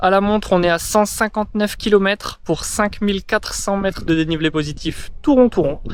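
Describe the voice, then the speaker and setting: Pitch sits high for this man. It varies in an ordinary way. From northern France, Pas-de-Calais. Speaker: vlogger, trail runner. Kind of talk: casual vlog debrief. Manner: hesitant, many fillers.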